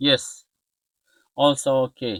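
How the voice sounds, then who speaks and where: A man speaks with a non-native accent. His tone is bright and sharp, and the sound is dry and close with no echo. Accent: non-native English pronunciation. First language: not English. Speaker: electronics repair youtuber. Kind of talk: tutorial. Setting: workbench. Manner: halting.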